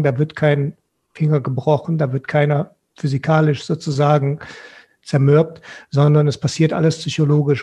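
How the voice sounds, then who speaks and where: The voice is dark and mellow, moving at a moderate pace with monotone, flat intonation over a quiet background. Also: man. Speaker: guest. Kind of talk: panel discussion answer. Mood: thoughtful, earnest. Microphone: headset.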